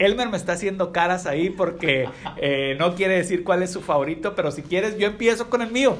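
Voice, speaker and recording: A man with a high voice speaks fairly quickly, his pitch varying in an ordinary way. Behind him there is noticeable background noise. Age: 30s. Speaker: podcast host. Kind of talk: casual chat.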